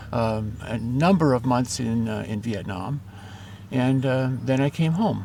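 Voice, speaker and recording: Noticeable background noise accompanies a man who speaks fairly slowly with an American accent. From Southern California. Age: 70s. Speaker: retired trader, former Air Force veteran. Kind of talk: interview. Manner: halting, many fillers.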